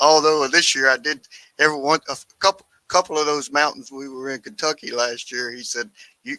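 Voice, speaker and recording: A man's bright, sharp tone at a fairly quick pace, fairly even in intonation, with a dry, close sound with no echo. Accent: Louisiana. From Louisiana. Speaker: turkey hunter. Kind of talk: casual chat.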